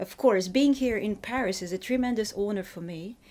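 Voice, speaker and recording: At a moderate pace, a woman with a Russian accent speaks in a dark, mellow tone with ordinary pitch variation. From Ukraine. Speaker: fiction writer. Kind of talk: interview. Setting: in Paris. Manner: halting, with false starts.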